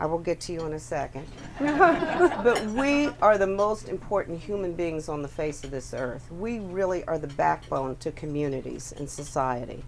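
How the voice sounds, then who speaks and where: Noticeable background noise sits behind a woman speaking at a moderate pace in a fairly low pitch. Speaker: interview guest. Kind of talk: interview answer. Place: cafe. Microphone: handheld.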